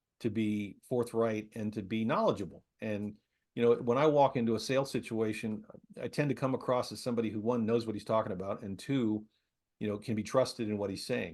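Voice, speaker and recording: A man talks at a fairly quick pace with fairly even intonation and a medium pitch, against a quiet background. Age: 60s. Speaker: business development and sales executive, army veteran. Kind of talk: podcast interview. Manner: hesitant, with frequent repetitions.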